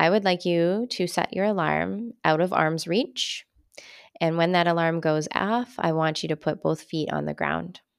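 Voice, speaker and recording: A woman with an unremarkable speaking voice talks at a fairly slow pace, her pitch fairly low with ordinary variation. The recording is very clean, with a silent background. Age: 30s. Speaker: podcast host, wellness business owner. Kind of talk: casual solo podcast monologue.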